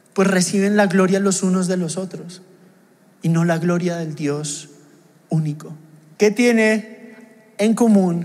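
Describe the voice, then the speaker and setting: The voice belongs to a man with a high pitch. Echo from the room can be heard. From Mexico. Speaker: pastor. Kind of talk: sermon.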